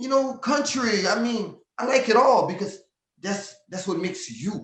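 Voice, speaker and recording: With an animated tone and a high pitch, a man talks at a moderate pace with ordinary pitch variation. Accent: American. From Louisiana, Lafayette. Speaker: southern soul singer. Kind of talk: interview. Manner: animated, repetitive stammering.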